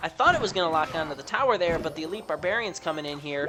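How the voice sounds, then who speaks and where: With music in the background, a woman with a fairly low pitch talks at a very fast pace. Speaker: gaming commentator. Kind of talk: gameplay commentary. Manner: animated.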